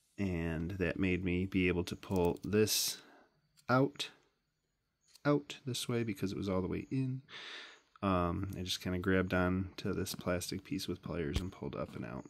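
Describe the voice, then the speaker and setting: At a moderate pace, a man with a very deep, low pitch speaks with long, frequent pauses. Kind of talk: tutorial. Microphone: phone near.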